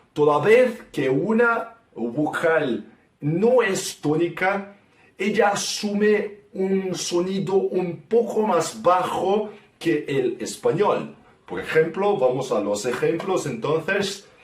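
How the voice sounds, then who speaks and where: Very slow speech with lively intonation comes through over noticeable background noise. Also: man, high pitch for a man. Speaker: guest language explainer. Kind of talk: language lesson explanation.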